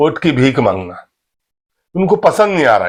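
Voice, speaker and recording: A man's speech rises and falls with lively intonation against a quiet background. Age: 60s. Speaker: political commentator. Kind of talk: political monologue.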